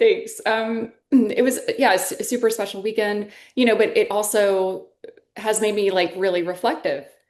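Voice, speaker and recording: A woman with an ordinary speaking voice talks at a moderate pace, her fairly high pitch carrying fairly even intonation. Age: 50s. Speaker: podcast host. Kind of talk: podcast interview.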